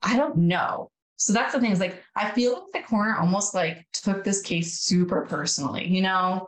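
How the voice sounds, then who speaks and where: A woman has an ordinary speaking voice at a medium pitch with ordinary pitch variation. She keeps a moderate pace with hardly any pauses and very even loudness. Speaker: podcast co-host. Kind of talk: casual chat.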